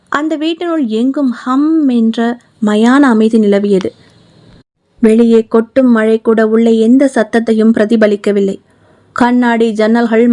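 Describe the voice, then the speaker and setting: The voice has a dark, mellow tone. A woman speaks with ordinary pitch variation. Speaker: author and narrator. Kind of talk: horror audiobook narration.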